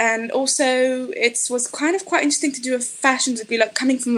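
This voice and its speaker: A woman talking at a very fast pace with ordinary pitch variation, over noticeable background noise. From Israel, Tel Aviv. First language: Hebrew. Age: 30s. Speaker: fashion designer and author. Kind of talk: interview conversation.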